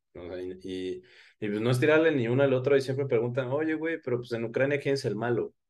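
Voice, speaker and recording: A man speaks at medium pitch and a fairly quick pace. It is an ordinary speaking voice over a quiet background. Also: ordinary pitch variation. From Oaxaca, Mexico. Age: 20s. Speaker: history content creator. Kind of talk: casual interview chat.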